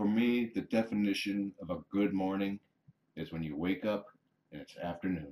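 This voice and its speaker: At a moderate pace, a man with a fairly low pitch and a dark, mellow tone talks with ordinary pitch variation and big swings in loudness. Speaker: kitten foster carer. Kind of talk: casual livestream chat.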